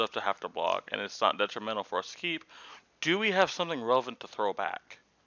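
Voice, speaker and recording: This man's intonation is lively. His words come at a fairly quick pace. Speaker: card game content creator. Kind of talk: tutorial. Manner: fast.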